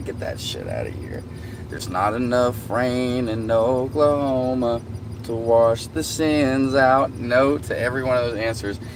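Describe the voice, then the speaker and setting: Over noticeable background noise and audible room echo, a man with a Southern US accent speaks fairly slowly at a medium pitch, his loudness swinging widely. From US South. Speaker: livestreamer. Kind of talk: casual chat.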